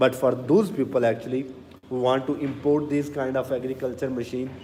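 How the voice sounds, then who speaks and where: Noticeable background noise sits behind a man with a non-native accent. His pitch is medium and his intonation fairly even. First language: not English. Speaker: machinery sales presenter. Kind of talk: live stream product demo. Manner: casual, repetitive.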